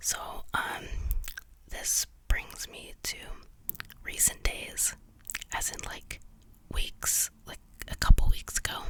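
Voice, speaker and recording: Whispering in a relaxed tone, a woman speaks at a very slow pace with long, frequent pauses and big swings in loudness, over noticeable background noise. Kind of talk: ASMR whispered storytelling about paranormal experiences, casual rambling. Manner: whispered, clicky, relaxed, rambling.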